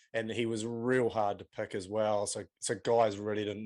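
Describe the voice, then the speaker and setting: A man speaks in a fairly low, monotone voice with flat intonation and a New Zealand accent. The recording is very clean, with a silent background. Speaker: podcast host. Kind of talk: casual chat.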